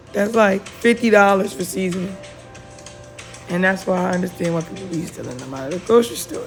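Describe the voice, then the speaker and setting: With music in the background, a woman speaks at a fairly quick pace in a medium pitch, with ordinary pitch variation and big swings in loudness. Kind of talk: cooking video voiceover. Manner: casual, chatty; drowsy.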